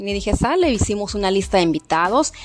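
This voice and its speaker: Her intonation lively and her pitch medium, a woman talks at a fairly quick pace. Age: 40s. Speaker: podcast host. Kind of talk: casual storytelling monologue. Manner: animated.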